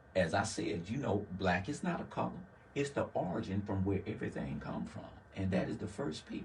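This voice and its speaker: A man with a fairly low pitch, very wide pitch swings and a slight Southern US accent, amid noticeable background noise. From US South, Laurel, Mississippi. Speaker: community worker. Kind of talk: interview.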